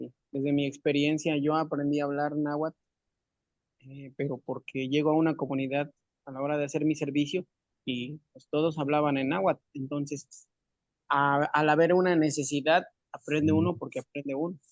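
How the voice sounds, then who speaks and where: With a dry, close sound and no echo, a man with a fairly high pitch speaks at a moderate pace in a monotone, flat voice with big swings in loudness. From Sierra Nororiental de Puebla, Mexico. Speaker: seminar participant. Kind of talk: audience question.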